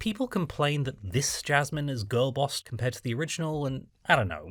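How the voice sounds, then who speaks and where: Lively intonation rides over a voice marked by vocal fry. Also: man, fairly high pitch for a man. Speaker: film reviewer. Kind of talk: video essay narration.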